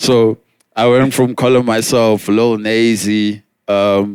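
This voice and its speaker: A man with a South African accent speaks very slowly in a fairly low pitch and a monotone, flat intonation. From South Africa, Pretoria. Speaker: rapper. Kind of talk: casual chat. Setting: outdoors on a rooftop.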